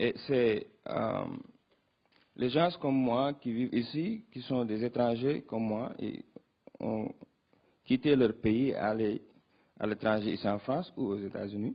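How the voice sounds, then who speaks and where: A man's very slow, medium-pitched speech with a non-native accent, long, frequent pauses and ordinary pitch variation. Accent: non-native French, rusty. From Senegal. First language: Wolof (speaking French). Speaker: youth political organizer. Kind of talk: panel discussion answer. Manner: halting, many hesitations.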